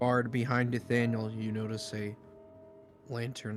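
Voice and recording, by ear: Natural-voiced reading aloud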